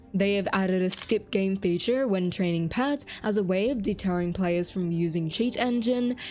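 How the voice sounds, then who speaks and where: A woman's medium-pitched voice with an Australian accent, ordinary pitch variation, a moderate pace, hardly any pauses and very even loudness. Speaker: gaming YouTuber. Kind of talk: scripted narration.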